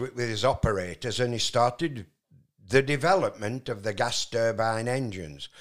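Speaking with a Yorkshire accent at a moderate pace, a man with a medium pitch comes through on a very clean recording with a silent background. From Yorkshire, Barnoldswick (West Riding). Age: 80s+. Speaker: retired truck driver. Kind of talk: casual chat. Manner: halting.

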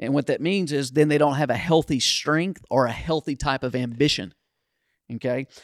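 A man with a Southern US accent and fairly high pitch, ordinary pitch variation, moderate pace, on a very clean recording with a silent background. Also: dry, close sound with no echo. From Kentucky, US. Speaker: pastor. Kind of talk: casual ministry podcast conversation.

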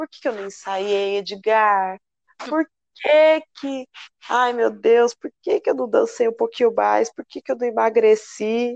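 A woman speaks at a very slow pace with ordinary pitch variation, in a dry, close sound with no echo. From São Paulo metro area (ABC region). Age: 30s. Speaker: samba school flag bearer. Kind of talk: interview.

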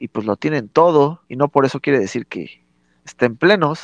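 A plain, everyday voice with ordinary pitch variation comes through in a dry, close sound with no echo, over a quiet background. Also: man. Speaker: podcast co-host. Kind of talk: casual chat.

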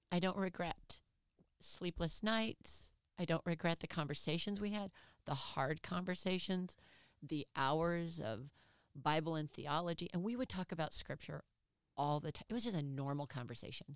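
Here a woman with a fairly low pitch speaks in an animated tone at a moderate pace with ordinary pitch variation. The recording is very clean with a silent background. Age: 50s. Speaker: professor. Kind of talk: interview.

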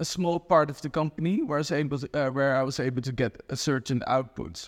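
This man has a Dutch accent and a fairly high pitch, speaking at a moderate pace with ordinary pitch variation. The recording is very clean, with a silent background. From Netherlands. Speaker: e-commerce growth consultant. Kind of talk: casual interview. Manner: hesitant, many fillers.

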